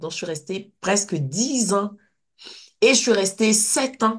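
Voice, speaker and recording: A somewhat breathy woman's voice at a medium pitch, at a very slow pace. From Côte d'Ivoire. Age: 60s. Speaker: kinesiologist and personal-development teacher. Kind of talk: interview. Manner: animated.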